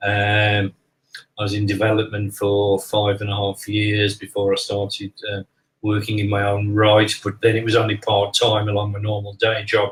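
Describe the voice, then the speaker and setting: A man talks at a moderate pace and fairly low pitch, somewhat breathy. His intonation is monotone and flat. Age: 60s. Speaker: spiritual medium. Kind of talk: casual interview.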